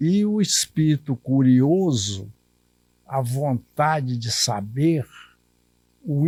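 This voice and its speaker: A man's fairly high, somewhat breathy voice with lively intonation, in a dry, close sound with no echo. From Minas Gerais, Brazil (Curvelo region). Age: 80s+. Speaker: retired civil servant and writer. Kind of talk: interview testimony.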